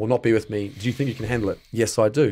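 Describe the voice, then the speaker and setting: A man with an Australian accent, medium pitch and a dark, mellow tone, speaking very fast on a very clean recording with a silent background. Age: 30s. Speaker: male stripper and actor. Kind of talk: casual interview chat.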